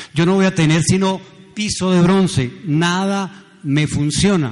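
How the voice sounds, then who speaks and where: This man's voice sits high in pitch. He talks at a very slow pace. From Colombia, Pereira. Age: 70s. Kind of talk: sermon.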